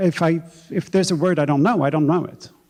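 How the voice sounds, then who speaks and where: Speaking very fast, a man uses a fairly high voice with a dark, mellow tone. He has a Swedish accent. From Sweden, Stockholm. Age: 40s. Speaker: novelist. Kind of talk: onstage author conversation. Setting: stage with audience. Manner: halting, with frequent repetitions.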